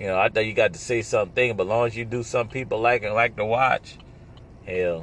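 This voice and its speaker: The speaker is a man with a medium pitch. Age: 30s. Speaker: solo podcaster and pizza delivery driver. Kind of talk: casual monologue. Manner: rambling, halting with fillers.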